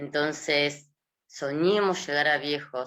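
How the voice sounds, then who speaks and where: A woman with a Rioplatense accent, her voice very deep and low, her intonation fairly even. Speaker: gerontology specialist. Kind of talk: interview.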